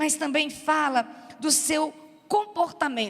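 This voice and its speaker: The voice is a woman's and high in pitch. She talks at a very slow pace. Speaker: preacher. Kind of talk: sermon.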